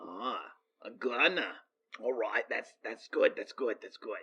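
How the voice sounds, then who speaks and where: Raspy and clearly a put-on character voice, this is a man speaking. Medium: actual play. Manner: polite, businesslike.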